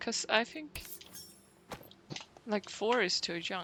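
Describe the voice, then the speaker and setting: In a Swedish accent, a woman speaks at a very slow pace. Her tone is bright and sharp, with vocal fry. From Sweden. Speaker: gaming streamer. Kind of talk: casual chat.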